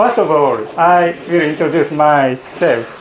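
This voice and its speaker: A man's fairly high voice with ordinary pitch variation, amid noticeable background noise and audible room echo. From Japan, Miyagi Prefecture. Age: 40s. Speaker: college lecturer. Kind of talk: lecture. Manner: halting, with many fillers.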